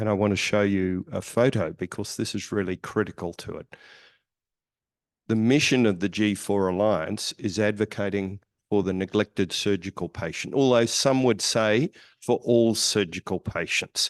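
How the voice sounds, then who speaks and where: A man's fairly low-pitched voice, dry and close with no echo, over a quiet background. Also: ordinary pitch variation, moderate pace. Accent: Australian. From Australia. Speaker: surgeon. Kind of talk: conference presentation.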